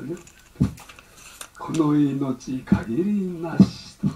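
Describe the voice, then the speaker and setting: The speech has ordinary pitch variation, with light background noise behind it. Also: man. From Japan. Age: 80s+. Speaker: Zen abbot. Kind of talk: dharma talk. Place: church. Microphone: camera far.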